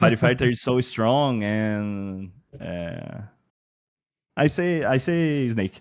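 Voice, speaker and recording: At a fairly slow pace and with long, frequent pauses, a man with a non-native accent speaks in a medium pitch using lively intonation. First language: Portuguese. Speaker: esports player. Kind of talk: post-match interview. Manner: halting.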